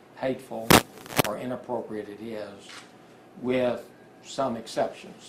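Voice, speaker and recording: A man's medium-pitched voice at a moderate pace, monotone and flat, with audible room echo and noticeable background noise. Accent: American. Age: 70s. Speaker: attorney. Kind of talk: press conference.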